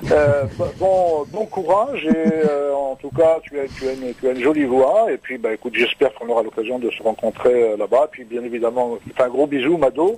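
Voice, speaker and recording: Noticeable background noise sits behind a man. He has a fairly high pitch and lively intonation. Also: moderate pace. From Normandy. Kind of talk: casual chat. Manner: halting, many repetitions.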